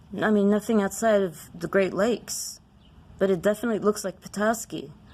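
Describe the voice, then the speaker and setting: A woman speaks at a fairly quick pace and medium pitch. It is a normal speaking voice with fairly even intonation. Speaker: rockhound video creator. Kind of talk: casual show-and-tell.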